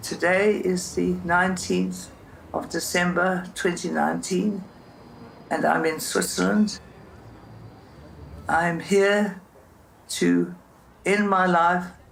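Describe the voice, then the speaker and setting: The speech moves at a very slow pace with long, frequent pauses. Its loudness stays very even. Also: woman. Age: 80s+. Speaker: documentary subject. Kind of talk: personal statement.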